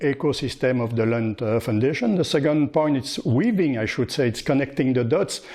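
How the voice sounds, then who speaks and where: A man with a French accent speaks in a dark, mellow, medium-pitched voice with ordinary pitch variation. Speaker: foundation co-founder, scout. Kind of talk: casual presentation. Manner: halting, repetitive.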